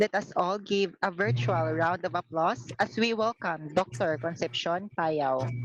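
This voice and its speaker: Speaking in a Visayan Filipino accent, a woman with a fairly low pitch and lively intonation moves at a fairly slow pace with hardly any pauses, in a dry, close sound with no echo. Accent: Filipino (Cebuano) English. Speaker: student emcee. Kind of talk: event hosting. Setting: online meeting.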